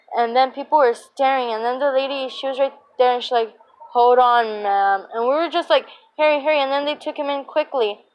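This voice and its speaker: A woman talks at a fairly quick pace. Her high voice has ordinary pitch variation. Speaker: YouTuber. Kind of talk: storytelling vlog. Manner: fast; animated.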